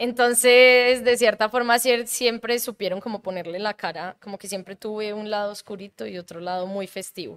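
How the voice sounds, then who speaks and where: In a very clean recording with a silent background, a woman with a plain, everyday voice speaks fairly slowly at a medium pitch and with ordinary pitch variation. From Colombia (Bogotá until about age 11). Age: 30s. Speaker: improviser, comedian and actress. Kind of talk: casual interview.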